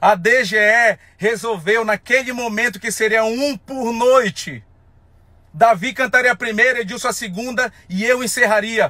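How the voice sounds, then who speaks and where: In a raised, projected voice, a high-pitched man speaks at a moderate pace with a bright, sharp tone and ordinary pitch variation, the sound dry with no echo over a quiet background. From Amazonas, Brazil. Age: 30s. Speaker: folk festival singer. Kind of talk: angry rant to camera. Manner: heated, emphatic. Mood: angry, confrontational. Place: car. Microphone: phone near.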